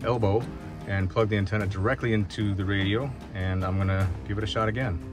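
A man speaks at a very fast pace with a fairly low pitch. The sound is dry with no echo, and clear music plays in the background. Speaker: ham radio operator. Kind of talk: casual vlog chat. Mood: puzzled. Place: car. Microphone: phone near.

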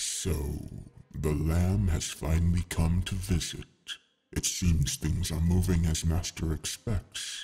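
In a put-on character voice, the speaker rasps along at a fairly slow pace. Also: man, very deep, low pitch for a man. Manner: hissing.

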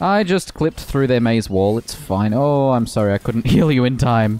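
In a dry recording with no echo, a man with an Australian accent speaks at medium pitch with lively intonation. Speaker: gaming streamer. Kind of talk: casual chat. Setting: home. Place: home room. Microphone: studio mic.

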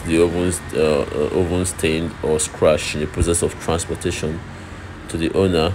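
Clear background noise sits behind this recording. A man speaks at a low pitch and fairly slow pace with fairly even intonation.

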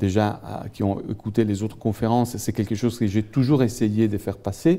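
A man's dark, mellow tone with an Italian accent. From Italy. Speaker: economics professor. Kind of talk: lecture. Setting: lecture hall with audience. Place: hall. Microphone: handheld.

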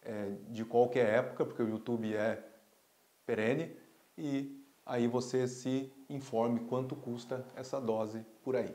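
The pace is fairly slow, with fairly even intonation. The tone is dark and mellow. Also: man. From Brazil. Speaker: pediatrician and pulmonologist doctor. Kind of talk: health explainer video. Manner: casual, conversational. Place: office. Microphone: lapel.

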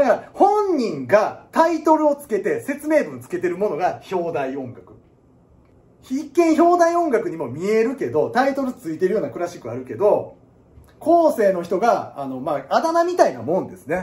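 A man with a Kansai accent speaks in an animated way, his high voice swinging very widely in pitch and his loudness rising and falling sharply. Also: moderate pace. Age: 30s. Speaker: piano teacher. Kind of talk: casual lecture. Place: classroom. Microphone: phone near.

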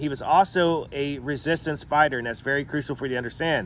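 The pitch varies in an ordinary way. The sound is dry with no echo, and there is light background noise. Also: man. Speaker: podcast host. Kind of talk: history podcast narration. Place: garden. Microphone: phone near.

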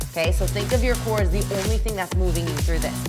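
This woman talks over clear music in the background. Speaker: fitness instructor. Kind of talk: workout class instruction. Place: gym.

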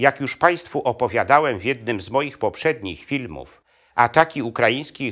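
A man's solemn tone against a quiet background. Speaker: video historian and channel host. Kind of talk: history documentary narration. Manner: measured, solemn, steady storyteller's delivery; formal, addressing audience politely. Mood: serious, somber. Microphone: lapel.

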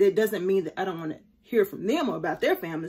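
Her intonation lively, a woman speaks at a fairly quick pace. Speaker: faith vlogger. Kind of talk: casual vlog chat. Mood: warm, animated storytelling. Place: home room. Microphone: phone near.

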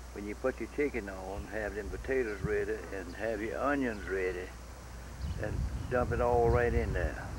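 The sound is dry with no echo, the pace moderate, and background noise noticeable. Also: man, very deep, low pitch for a man. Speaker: interviewee. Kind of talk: interview answer. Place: garden.

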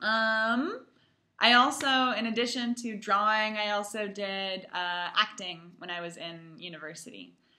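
A woman with a fairly high pitch and a bright, sharp tone, fairly slow pace, ordinary pitch variation, big swings in loudness, and a quiet background. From US West Coast, Palo Alto, California. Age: 20s. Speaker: English teacher abroad. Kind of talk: self-introduction video for students. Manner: slow, clear for language learners. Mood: friendly, warm. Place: home room. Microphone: webcam.

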